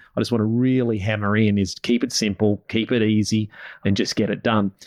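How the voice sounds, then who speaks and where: A man with an Australian accent speaks at a very fast pace. His pitch is fairly low, and the background is quiet. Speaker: podcast host and business coach for farming families. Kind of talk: podcast interview.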